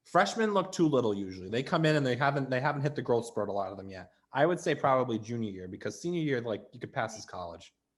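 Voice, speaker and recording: With a Rhode Island accent, a man talks at a very fast pace with hardly any pauses, using a medium pitch with very wide pitch swings and big swings in loudness. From Rhode Island, Barrington. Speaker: student web show host. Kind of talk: casual advice chat.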